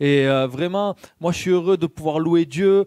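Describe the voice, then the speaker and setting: A man with a slight Marseille accent, fairly high pitch and fairly even intonation, at a fairly slow pace, in a dry, close sound with no echo on a very clean recording with a silent background. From southern France, Marseille. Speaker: lay preacher. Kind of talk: sermon. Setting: church. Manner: hesitant, frequent fillers.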